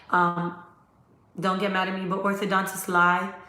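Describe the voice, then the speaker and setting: A woman speaks in an animated tone, with audible room echo. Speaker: dentist. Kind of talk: live stream Q&A. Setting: live stream from laptop. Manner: fast.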